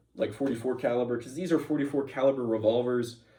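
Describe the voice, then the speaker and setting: A man's very fast, medium-pitched speech with a dark, mellow tone, fairly even intonation, and audible room echo. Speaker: firearms video creator. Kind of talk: tutorial. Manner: casual.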